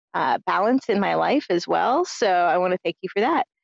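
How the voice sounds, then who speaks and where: A woman speaks at a fairly quick pace in an ordinary speaking voice with a medium pitch. Her pitch varies in an ordinary way, and the sound is dry and close with no echo. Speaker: listener leaving voicemail. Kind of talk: voicemail message.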